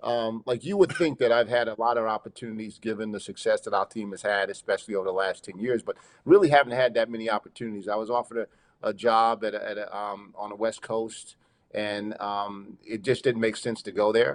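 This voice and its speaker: A man with a New York accent, fairly quick pace and fairly even intonation, in a dry, close sound with no echo over a quiet background. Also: medium pitch for a man. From New York, Long Island. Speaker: college basketball head coach. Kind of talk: casual interview.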